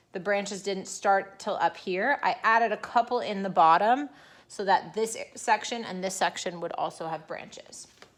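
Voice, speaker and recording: A woman's ordinary speaking voice, medium in pitch, with lively intonation. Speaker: elementary art teacher. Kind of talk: tutorial. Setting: recorded video lesson.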